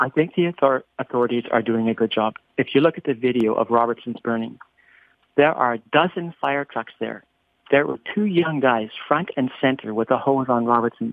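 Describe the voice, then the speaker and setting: Talking at a moderate pace, a man with a Canadian Prairie accent uses a medium pitch with ordinary pitch variation. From Northern Saskatchewan, Canada. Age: 60s. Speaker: business owner, wildfire victim. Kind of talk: interview. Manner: halting with repetitions.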